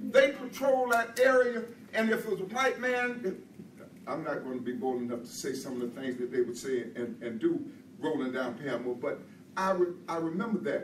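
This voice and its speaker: Music plays in the background and room echo is audible. A man speaks in a high voice with very wide pitch swings. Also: moderate pace. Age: 80s+. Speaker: guest speaker. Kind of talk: public speech. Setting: stage with audience.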